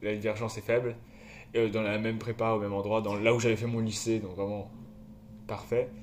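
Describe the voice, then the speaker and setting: A man's fairly low, monotone voice at a fairly quick pace, with long, frequent pauses and audible room echo. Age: 20s. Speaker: podcast co-host, student. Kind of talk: casual chat. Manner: halting.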